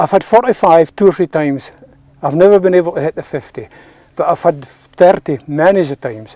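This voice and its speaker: Fairly quick and high-pitched for a man, he speaks with a Scottish Borders accent and lively intonation. His tone is dark and mellow, and the sound is dry and close with no echo. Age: 70s. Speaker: ferreter. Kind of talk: interview.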